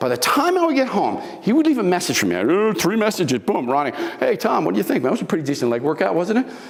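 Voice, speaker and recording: A man with an animated tone over noticeable background noise. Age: 70s. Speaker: motivational speaker, former bodybuilder. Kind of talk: motivational talk. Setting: live talk with audience.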